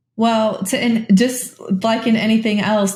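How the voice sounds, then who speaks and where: A woman speaks in a somewhat breathy voice. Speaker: career coach. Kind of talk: interview answers. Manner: occasional stumbles over words.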